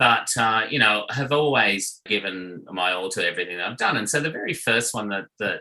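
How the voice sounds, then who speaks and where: Over noticeable background noise, a man with an Australian accent speaks at a medium pitch and moderate pace with lively intonation. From Australia, Sydney. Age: 60s. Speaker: restaurant owner and marketing executive. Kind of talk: interview chat. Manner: casual, many fillers.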